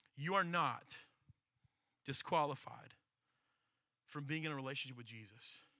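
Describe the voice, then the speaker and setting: A man's bright, sharp voice with big swings in loudness, long and frequent pauses, and audible room echo. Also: fairly high pitch for a man, ordinary pitch variation. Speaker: pastor. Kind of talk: sermon. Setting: church service with audience. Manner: fast.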